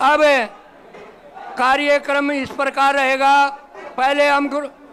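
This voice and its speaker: A man speaks at an extremely high pitch in a monotone, flat intonation. Crowd noise can be heard behind him. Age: 70s. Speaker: community elder. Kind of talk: public speech at ceremony.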